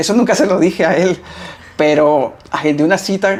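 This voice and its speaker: A fairly slow pace and ordinary pitch variation in a man's voice, a plain, everyday voice. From Costa Rica. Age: 30s. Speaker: tattoo artist. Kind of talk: interview.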